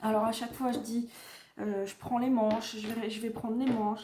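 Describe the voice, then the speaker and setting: Somewhat breathy female voice with a dark, mellow tone. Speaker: knitting vlogger. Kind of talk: casual vlog. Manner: hesitant, many fillers.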